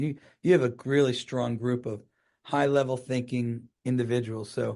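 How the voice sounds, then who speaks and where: A man speaks at a medium pitch with a dark, mellow tone over a quiet background. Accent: New Jersey. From US Northeast (New Jersey). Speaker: gynecologic oncologist. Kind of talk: podcast interview. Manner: fast; mumbling at times.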